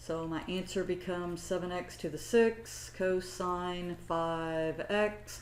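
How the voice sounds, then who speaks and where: There is audible room echo as a woman talks with a fairly low pitch and fairly even intonation. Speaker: math instructor. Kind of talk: lecture. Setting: recorded lecture, camera off.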